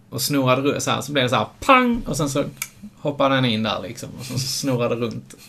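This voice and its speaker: Fairly quick speech from a man at a medium pitch, amid noticeable background noise and audible room echo. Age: 30s. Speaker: podcast co-host. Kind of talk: casual chat.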